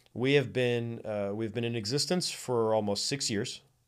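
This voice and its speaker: On a very clean recording with a silent background, a man talks at a moderate pace, his medium pitch showing ordinary variation. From South Florida. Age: young. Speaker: nonprofit arts organization leader. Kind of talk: casual chat. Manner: animated.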